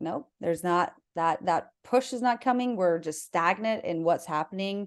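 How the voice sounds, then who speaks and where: A woman with an American accent, an ordinary speaking voice, speaks at medium pitch and a moderate pace with lively intonation against a quiet background. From South Dakota, US Midwest. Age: 30s. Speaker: human design coach. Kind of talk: casual interview chat.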